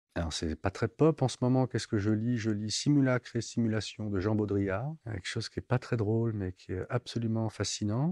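A man's dark, mellow voice comes through dry, with no echo. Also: quiet background. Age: 50s. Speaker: visual artist; interviewee. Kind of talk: interview. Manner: halting. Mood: calm, reflective. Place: hall. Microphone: lapel.

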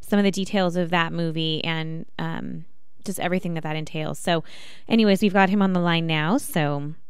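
An unremarkable speaking voice at a moderate pace with fairly even intonation, recorded dry with no echo against a quiet background. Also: woman, fairly low pitch for a woman. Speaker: radio show host. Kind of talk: radio host introduction and interview question. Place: studio. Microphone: studio mic.

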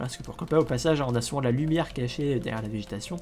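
Someone talks at a very fast pace with music playing in the background. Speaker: Minecraft let's play YouTuber. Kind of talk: gameplay commentary. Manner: hesitant, many fillers and repetitions.

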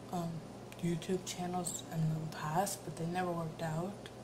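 Against noticeable background noise, a soft-spoken woman with a fairly low voice talks at a fairly slow pace. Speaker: new vlogger. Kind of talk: casual talk to camera. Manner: soft-spoken, quiet. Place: kitchen. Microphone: phone near.

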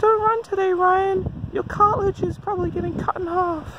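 In a put-on character voice, extremely high, squeaky and whiny with a whiny tone, the speaker talks at a moderate pace over clear background noise. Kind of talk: casual vlog chat. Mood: wry, self-mocking.

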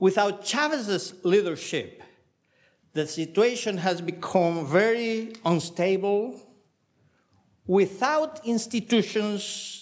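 Speaking very slowly with a Spanish accent, a man with a high voice uses lively intonation against a quiet background. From Venezuela. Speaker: political scientist, former minister; former minister. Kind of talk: academic panel talk. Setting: panel with audience. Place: hall. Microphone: podium.

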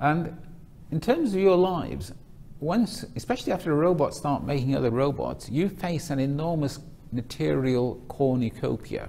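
In a dark, mellow, somewhat breathy voice, a man speaks at a moderate pace with lively intonation. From northern England, Manchester. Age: 60s. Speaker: retired accountant and speaker. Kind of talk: talk to students. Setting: stage with audience.

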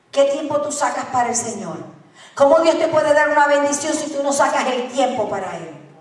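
A high-pitched woman with ordinary pitch variation, against noticeable background noise. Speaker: preacher. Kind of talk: sermon. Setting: church.

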